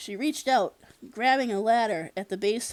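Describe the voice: With ordinary pitch variation, the recording is plain reading aloud.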